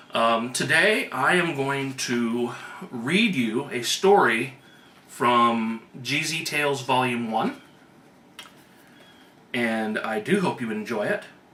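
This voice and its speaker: A man at a medium pitch, very slow and broken by long, frequent pauses, with lively intonation over noticeable background noise. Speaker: author. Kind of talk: casual talk to camera.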